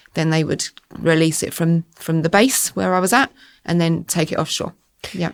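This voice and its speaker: A woman with an Essex accent speaks at a fairly low pitch. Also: ordinary pitch variation, moderate pace. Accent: southern English, Essex twang. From Essex, southern England. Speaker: school estates manager. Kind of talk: podcast interview. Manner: hesitant, many fillers.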